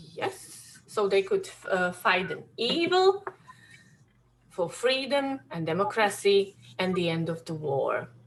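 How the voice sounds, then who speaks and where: Through noticeable background noise, a woman with a Slovak accent speaks at a very slow pace. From Slovakia. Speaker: workshop leader on war history. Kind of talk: educational talk to children. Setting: classroom workshop, also on zoom. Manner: halting, many fillers.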